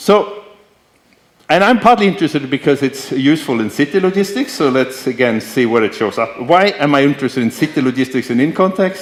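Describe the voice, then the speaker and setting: An ordinary speaking voice from a man, fairly high in pitch, with lively intonation. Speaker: professor. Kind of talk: lecture.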